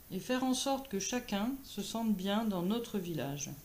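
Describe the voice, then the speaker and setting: Somewhat breathy woman's voice at a fairly high pitch, ordinary pitch variation and a fairly slow pace. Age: 50s. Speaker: therapist, municipal election candidate. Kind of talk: campaign self-introduction.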